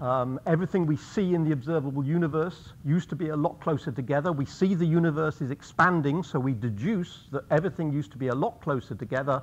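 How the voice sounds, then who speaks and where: A man at a very fast pace, with ordinary pitch variation and hardly any pauses. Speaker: guest lecturer. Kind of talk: lecture. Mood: light, gently humorous. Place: hall.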